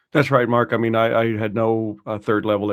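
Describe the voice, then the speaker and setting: A man's fairly low voice with a Texas accent. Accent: non-Irish, American (Texas). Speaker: financial adviser and student. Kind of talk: podcast interview. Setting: podcast.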